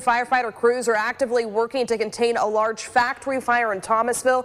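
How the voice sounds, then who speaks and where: A woman with a high pitch talks at a very fast pace over noticeable background noise. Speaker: TV news anchor. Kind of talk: TV news read. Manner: energetic.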